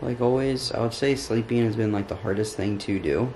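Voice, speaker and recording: Over light background noise, a man speaks with fairly even intonation. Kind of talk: casual vlog chat.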